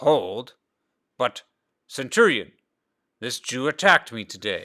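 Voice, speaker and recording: In a put-on character voice, a man at medium pitch speaks fairly slowly with very wide pitch swings, in a very clean recording with a silent background. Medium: read story. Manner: barking, sneering.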